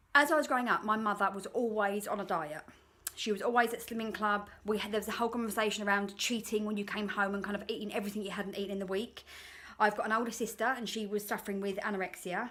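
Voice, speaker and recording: In an English accent, a woman talks very fast at a fairly high pitch with fairly even intonation. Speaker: life coach vlogger. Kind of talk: reflective monologue.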